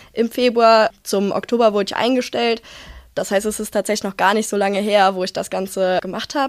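A woman's normal speaking voice, fairly high-pitched, at a fairly quick pace with fairly even intonation, on a very clean recording with a silent background. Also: dry, close sound with no echo. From Rhineland-Palatinate, Germany. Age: 20s. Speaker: police student and union youth official. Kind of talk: casual chat.

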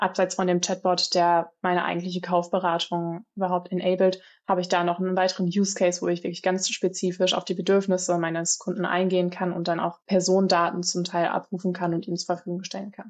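At a very fast pace with hardly any pauses, a woman speaks at medium pitch in a monotone, flat intonation against a quiet background. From Germany, Aachen. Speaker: research scientist. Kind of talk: podcast interview.

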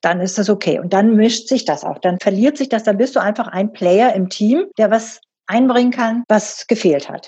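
Her pitch is fairly high and somewhat breathy. The woman's tone is dark and mellow. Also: ordinary pitch variation, moderate pace. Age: 60s. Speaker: company board member and professor. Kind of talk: interview.

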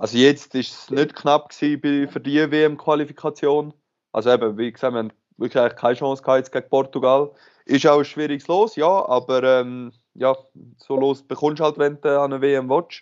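Using an ordinary speaking voice, a man talks at a fairly high pitch. His pace is moderate and his intonation fairly even. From Switzerland, Aargau (Aarau). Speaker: professional handball player. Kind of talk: interview.

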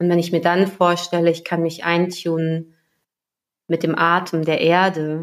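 A woman's fairly low voice, monotone and flat, at a fairly slow pace with very even loudness. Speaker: coach, podcast co-host. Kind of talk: guided meditation; casual chat. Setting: home recording, separate rooms.

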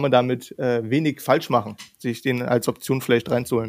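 At a moderate pace, a man speaks in an ordinary speaking voice at medium pitch. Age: 20s. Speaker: content creator. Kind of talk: casual chat.

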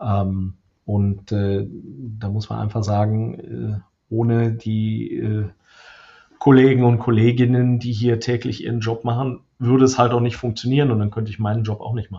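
In a flat, monotone delivery, a man with a somewhat breathy voice talks at a moderate pace. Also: medium pitch for a man. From Lower Rhine, Germany (Krefeld). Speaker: software company executive. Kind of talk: interview. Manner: hesitant, many fillers.

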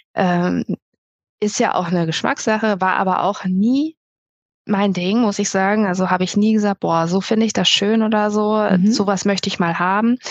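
A woman speaks at medium pitch and a moderate pace. Her intonation is fairly even and her loudness very even. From Lower Saxony, Germany (Melle near Osnabrück). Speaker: photographer. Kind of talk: interview. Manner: hesitant, many filler sounds.

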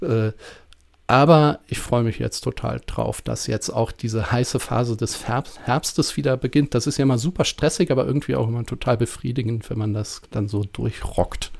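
A man speaks at a medium pitch with ordinary variation. Vocal fry runs through his voice. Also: moderate pace. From northern Germany (Prussia). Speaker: podcast host, design researcher. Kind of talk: casual academic conversation.

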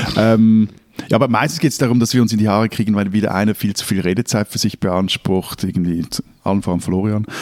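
Talking at a very fast pace, a man speaks with a fairly low pitch. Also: ordinary pitch variation, dry, close sound with no echo. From Switzerland, Zurich. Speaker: newspaper editor, podcast co-host. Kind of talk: casual chat.

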